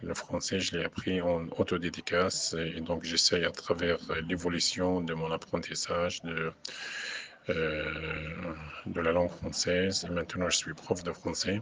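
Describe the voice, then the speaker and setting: Over noticeable background noise, a man with a very deep, low voice talks at a fairly slow pace in a flat monotone, leaving long, frequent pauses. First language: Arabic (speaking French). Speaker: poet and French professor. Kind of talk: radio interview. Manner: halting, many hesitations.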